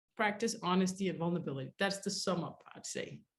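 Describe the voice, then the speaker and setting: Her voice somewhat breathy, a woman speaks at a medium pitch. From grew up in a war zone. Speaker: relationship coach. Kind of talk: webinar masterclass. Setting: live online webinar. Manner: fast.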